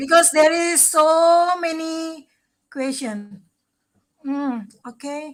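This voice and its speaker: With an Indonesian accent, a woman speaks very slowly at a high pitch with ordinary pitch variation and long, frequent pauses. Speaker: travel show host. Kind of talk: live stream interview.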